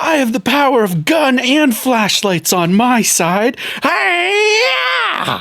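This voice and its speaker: In a put-on character voice, the speaker talks at a very slow pace and fairly high pitch, with very wide pitch swings. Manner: action-hero bravado.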